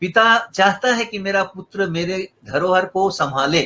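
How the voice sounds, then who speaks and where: Projecting his voice, a man speaks at a high pitch with a bright, sharp tone. His pitch variation is ordinary. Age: 70s. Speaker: guitarist and musician. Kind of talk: interview.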